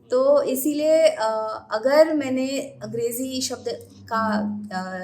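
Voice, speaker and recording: A woman speaks in a Marathi accent at a high pitch with ordinary pitch variation. Noticeable background noise runs underneath. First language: Marathi (speaking Hindi). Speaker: astrologer. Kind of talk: podcast interview. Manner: halting, many hesitations.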